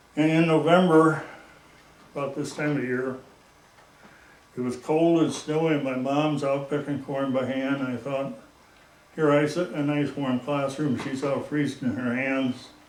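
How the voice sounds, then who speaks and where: A man with an American accent at a moderate pace, monotone and flat, with long, frequent pauses, audible room echo and noticeable background noise. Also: fairly high pitch for a man. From US Midwest, northeast Iowa. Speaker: local elder recalling the past. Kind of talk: oral history interview.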